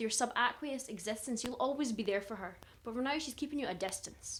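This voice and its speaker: A high-pitched woman in a Glaswegian accent at a fairly quick pace. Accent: Glaswegian Scottish. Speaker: performance poet. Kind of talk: performance poetry. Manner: animated.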